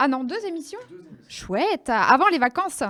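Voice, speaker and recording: A woman talks at a moderate pace. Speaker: radio host. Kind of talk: radio quiz show.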